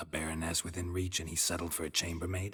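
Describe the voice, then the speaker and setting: A man puts on a character voice, very deep and low. He talks at a very fast pace with monotone, flat intonation. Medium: video game. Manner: terse, dry, deadpan.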